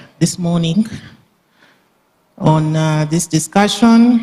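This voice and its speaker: A somewhat breathy delivery at a very slow pace. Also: woman. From Uganda. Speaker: meeting moderator, government official. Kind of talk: formal meeting moderation. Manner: hesitant fillers.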